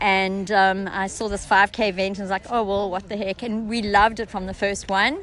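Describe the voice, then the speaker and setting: A woman with a slight South African accent speaks at a medium pitch and a moderate pace, monotone and flat, with hardly any pauses. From South Africa, Cape Town. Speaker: parkrun participant. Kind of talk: casual interview.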